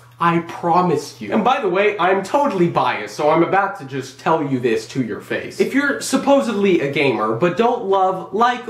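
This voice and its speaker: A man's high voice with very wide pitch swings, audible room echo and noticeable background noise. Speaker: gaming vlogger. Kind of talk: casual solo vlog monologue. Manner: animated.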